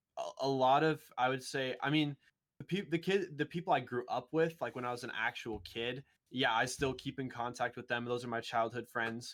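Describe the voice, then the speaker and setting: An American-accented man talks at a moderate pace, his pitch varying in an ordinary way. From US Midwest (small-town Missouri). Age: 18-19 (just finished high school). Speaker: esports video editor and content producer. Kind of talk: casual podcast interview. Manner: halting, many fillers and restarts.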